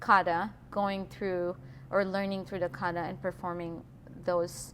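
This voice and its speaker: Speaking at a fairly slow pace with a non-native accent, a woman keeps a fairly low pitch and fairly even intonation. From Philippines. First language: not English. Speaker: employee, quality lead. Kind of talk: interview. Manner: hesitant.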